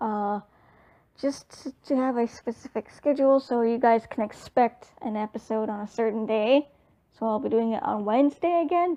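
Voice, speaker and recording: A woman speaks at a high pitch with a dark, mellow tone and ordinary pitch variation. Her moderate pace comes through in a dry, close sound with no echo. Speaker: gaming youtuber. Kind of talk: casual chat.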